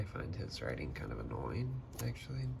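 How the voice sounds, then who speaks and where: A soft-spoken man talks over noticeable background noise. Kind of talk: ASMR soft-spoken casual talk to camera about books. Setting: typical close-mic ASMR recording at home.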